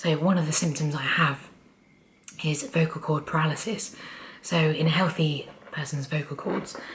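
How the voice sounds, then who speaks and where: Noticeable background noise sits under a woman with a very deep, low pitch. She keeps fairly even intonation at a moderate pace, with long, frequent pauses. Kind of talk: casual talk to camera.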